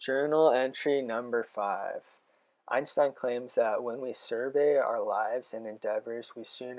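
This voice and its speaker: At a fairly slow pace, a man speaks with an American accent. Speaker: college student. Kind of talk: reading aloud from journal entries. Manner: hesitant, many ums.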